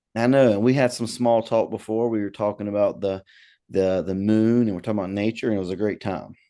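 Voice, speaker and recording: Against a quiet background, a man with a slight Southern US accent talks at a very fast pace in a dark, mellow tone with fairly even intonation. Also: fairly low pitch for a man. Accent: slight Southern US twang. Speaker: podcast host, comedian. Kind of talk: casual interview chat.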